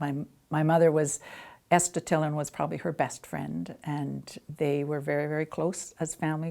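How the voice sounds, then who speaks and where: Very deep and low, with a dark, mellow tone, the woman's voice moves at a moderate pace in a very clean recording with a silent background. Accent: Canadian. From western Canada (Arrowhead, British Columbia). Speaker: interviewee recalling local history. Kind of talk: oral history interview.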